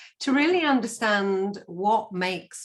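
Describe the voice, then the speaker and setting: On a very clean recording with a silent background, a woman speaks at a very slow pace with ordinary pitch variation. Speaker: podcast host. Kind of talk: podcast intro.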